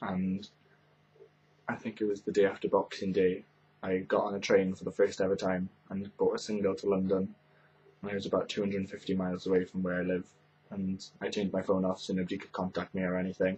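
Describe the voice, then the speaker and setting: A man's fairly low voice at a very fast pace, with monotone, flat intonation. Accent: Welsh. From Wales, Carmarthen. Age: young. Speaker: YouTuber. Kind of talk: casual chat.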